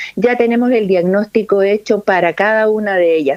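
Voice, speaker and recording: Music plays in the background while a woman speaks at a fairly slow pace. Her pitch is fairly high, with ordinary variation. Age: 60s. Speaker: lung specialist doctor. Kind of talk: interview.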